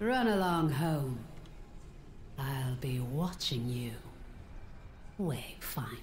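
A put-on character voice at a low-to-middle pitch moves at a very slow pace with long, frequent pauses. Background noise is clearly heard. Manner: creepy, ominous.

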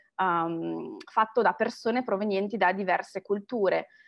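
Behind the woman, the background is quiet. Her pace is fairly slow. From Italy. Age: 30s. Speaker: marketing professional and alumna; interviewee. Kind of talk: interview testimony. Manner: hesitant, many fillers. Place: home room. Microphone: webcam.

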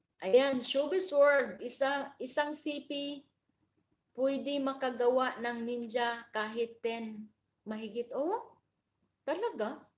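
A woman's high-pitched voice at a very slow pace. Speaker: livestream vlogger. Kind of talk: casual livestream chat with viewers.

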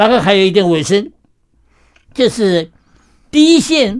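Against a quiet background, a man speaks at a high pitch and fairly slow pace with very wide pitch swings. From Shanghai, moved to Taiwan at 17. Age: 90s. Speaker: retired professor and novelist; interview guest. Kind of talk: radio interview. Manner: halting with many fillers. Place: studio. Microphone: studio mic.

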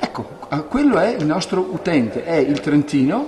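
A man speaks over light background noise. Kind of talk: interview answer. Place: office. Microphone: handheld.

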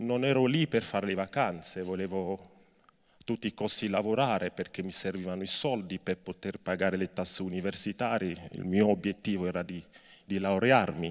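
Against a quiet background, the speaker talks at a moderate pace with ordinary pitch variation. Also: man, fairly low pitch for a man. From Cameroon. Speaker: labor rights activist. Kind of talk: speech to students and inmates. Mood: earnest, serious. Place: stage. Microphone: handheld.

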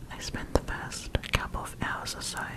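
A soft-spoken woman whispering at a fairly slow pace, against loud background noise. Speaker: storyteller. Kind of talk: soft-spoken story reading. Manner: close, soft ASMR whisper. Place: home room. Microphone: studio mic.

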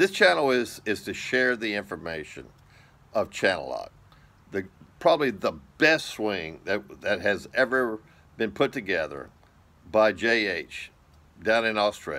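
The tone of this man's voice is bright and sharp. He delivers his words at a fairly slow pace. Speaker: golf channel host. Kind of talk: casual vlog chat. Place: home room. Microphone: phone near.

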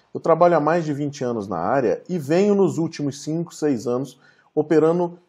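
A man speaking at a moderate pace against a quiet background. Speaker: presenter. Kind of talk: online talk presentation. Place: home room. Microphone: webcam.

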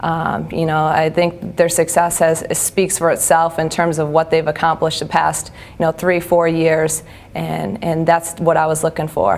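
Speaking with a Midwestern American accent, a woman keeps a moderate pace and a fairly low, monotone, flat delivery. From US Midwest, Iowa. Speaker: basketball assistant coach. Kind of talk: interview. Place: studio.

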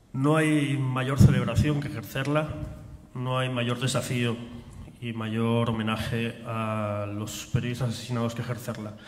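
There is audible room echo around a man's medium-pitched voice. Light background noise sits underneath. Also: fairly even intonation, moderate pace. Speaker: forum organizer and host. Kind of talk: formal opening speech and introduction. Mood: solemn, commemorative. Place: stage. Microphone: podium.

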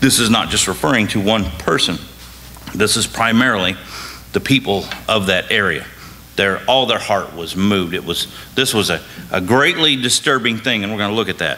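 Speaking at a moderate pace with a fairly low pitch and ordinary pitch variation, this man leaves long, frequent pauses. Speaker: bible study teacher. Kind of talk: lecture. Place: church. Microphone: podium.

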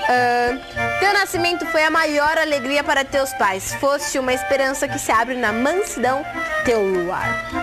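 A fairly slow pace over clear music in the background. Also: woman. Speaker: TV show hostess. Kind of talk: cheerful talk with a child caller, then reading a card aloud. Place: studio. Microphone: lapel.

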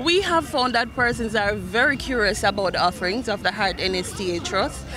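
Speech comes at a moderate pace with lively intonation. The sound is dry with no echo, and music plays in the background. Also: woman. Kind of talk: interview answer. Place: street. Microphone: handheld.

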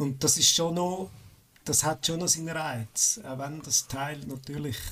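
A man speaks with a Swiss accent. His pace is fairly slow and his intonation fairly even. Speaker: hobby game programmer. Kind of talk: casual chat.

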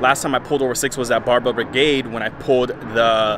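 Against noticeable background noise, a man talks with fairly even intonation in a dry sound with no echo. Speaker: fitness vlogger. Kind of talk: casual vlog chat. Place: street. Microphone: phone near.

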